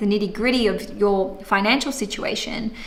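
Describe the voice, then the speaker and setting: A woman of medium pitch at a fairly quick pace, fairly even in intonation, with audible room echo and noticeable background noise. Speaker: astrologer. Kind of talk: monthly horoscope livestream. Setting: livestream.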